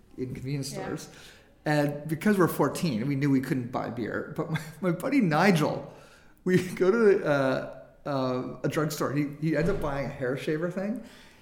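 Audible room echo around a moderate pace, with ordinary pitch variation. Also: man. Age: 40s. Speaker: filmmaker. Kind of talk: casual interview chat.

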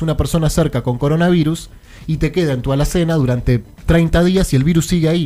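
A very fast, fairly high-pitched man's voice with fairly even intonation. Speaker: radio host. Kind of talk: radio talk show. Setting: studio.

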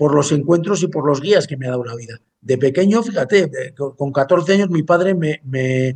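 Moving at a moderate pace, a man speaks with fairly high pitch and ordinary pitch variation. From Basque Country, Spain. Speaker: chef. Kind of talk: interview. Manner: halting, many fillers.

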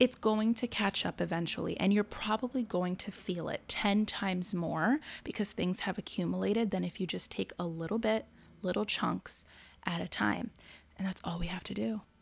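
On a very clean recording with a silent background, a woman speaks at a moderate pace. Her medium-pitched voice is somewhat breathy, with ordinary pitch variation. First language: not English. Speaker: therapist and podcast co-host. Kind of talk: casual chat.

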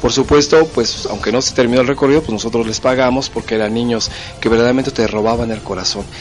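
Music plays in the background as a man speaks at a very fast pace. His medium pitch stays fairly even in intonation. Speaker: psychologist radio host. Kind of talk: radio talk monologue.

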